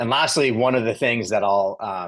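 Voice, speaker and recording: A man speaking against a quiet background. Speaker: software company presenter. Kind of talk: webinar presentation. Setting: online webinar. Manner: fast.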